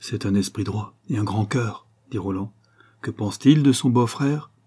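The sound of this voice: An unforced reading voice, its pitch shifting by a normal amount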